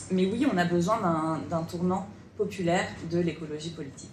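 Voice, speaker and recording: Audible room echo and noticeable background noise surround a woman speaking at a moderate pace with ordinary pitch variation. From France, Bordeaux. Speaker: politician. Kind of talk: panel debate.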